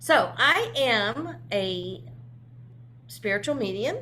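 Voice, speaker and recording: Her voice at a medium pitch, a woman with vocal fry and a bright, sharp tone swings her pitch very widely in a room with audible echo. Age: 60s. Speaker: spiritual medium and author. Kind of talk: casual interview.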